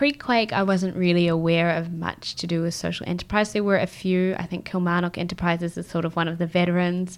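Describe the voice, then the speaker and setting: A woman at a fairly quick pace with fairly low pitch and hardly any pauses, on a very clean recording with a silent background. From New Zealand, Christchurch. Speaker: social enterprise lawyer. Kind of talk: casual chat.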